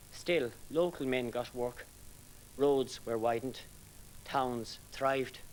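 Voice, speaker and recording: With an Irish accent, the speaker talks at a very slow pace with fairly even intonation and long, frequent pauses. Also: man, medium pitch for a man. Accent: Irish (Galway). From Ireland, East Galway. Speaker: poet. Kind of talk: poetry reading; introduction between poems.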